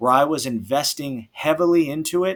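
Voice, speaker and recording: A man with an American accent, a normal speaking voice, lively intonation and a moderate pace, on a very clean recording with a silent background. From USA. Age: 30s. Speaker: school teacher and investing vlogger. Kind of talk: personal finance vlog. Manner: casual, conversational.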